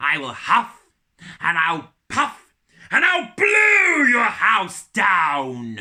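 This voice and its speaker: A put-on character voice, raspy and middle-pitched, delivered at a very slow pace. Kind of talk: children's storytelling. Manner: menacing, threatening.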